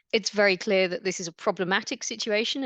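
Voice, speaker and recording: Very fast and fairly even in intonation, a speaker with an English accent talks over a quiet background in a dry, close sound with no echo. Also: woman. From England, London area. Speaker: immunology researcher. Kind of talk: lecture.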